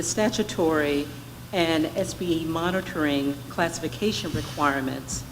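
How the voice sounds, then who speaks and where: A woman with fairly low pitch, ordinary pitch variation and a moderate pace, in audible room echo. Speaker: state education department director presenting to board. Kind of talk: formal presentation at board meeting. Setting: board meeting workshop, live streamed. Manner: loud; formal.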